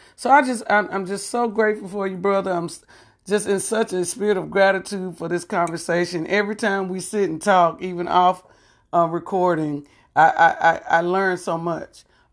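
A woman with an unremarkable speaking voice, medium pitch, moderate pace and fairly even intonation. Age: 50s. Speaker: podcast host. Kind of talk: interview.

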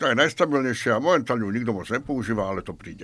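Here a man speaks very fast at a medium pitch. His intonation is lively. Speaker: beer taster. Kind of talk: casual chat.

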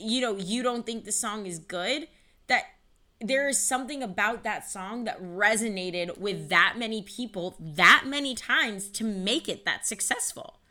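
A woman with an American accent talks at a moderate pace, her intonation lively. Her fairly high voice has a bright, sharp tone. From Ohio, Cleveland area. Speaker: nonprofit founder in music industry. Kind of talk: interview.

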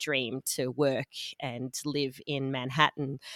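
In an Australian accent, a woman speaks fairly slowly in a very deep, low pitch with monotone, flat intonation, the sound dry and close with no echo on a very clean recording with a silent background. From Melbourne, Australia. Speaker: business co-founder. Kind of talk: casual interview.

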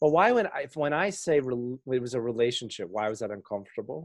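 At a fairly quick pace, a man with an unremarkable speaking voice talks at medium pitch with lively intonation. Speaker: podcast host. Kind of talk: casual conversation about faith.

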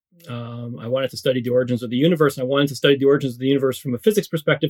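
A man with a Canadian accent speaks at a very fast pace in a medium pitch, the sound dry and close with no echo. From Canada. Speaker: professor, energy access researcher. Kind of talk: podcast interview.

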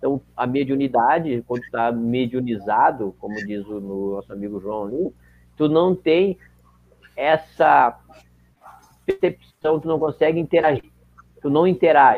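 Lively intonation runs through the speech, which is broken by long, frequent pauses. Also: man, fairly high pitch for a man, big swings in loudness. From southern Brazil, Caxias do Sul (Rio Grande do Sul). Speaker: volunteer and medium. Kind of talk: casual interview.

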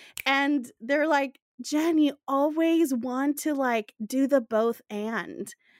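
A woman's high voice at a very slow pace, with hardly any pauses, ordinary pitch variation, and a dry, close sound with no echo. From Latin America, outside the US. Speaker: podcast host. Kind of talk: scripted narration; casual chat.

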